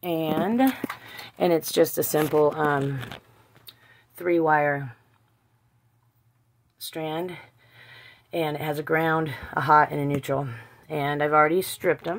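A woman speaks at a very slow pace. Her pitch is very deep and low, with ordinary variation. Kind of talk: casual vlog tutorial. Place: shop. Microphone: phone near.

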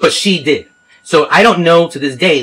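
A man talks fairly quickly, his intonation lively. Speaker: caller. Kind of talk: phone complaint explanation. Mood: frustrated, earnest.

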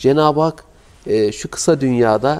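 A man speaks with lively intonation. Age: 40s. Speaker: Islamic preacher. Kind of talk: sermon. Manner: emotive. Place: home room. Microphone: lapel.

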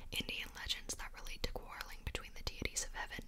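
A woman whispering over noticeable background noise. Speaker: ASMR content creator. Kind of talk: soft-whispered book reading. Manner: whispered, soft-spoken.

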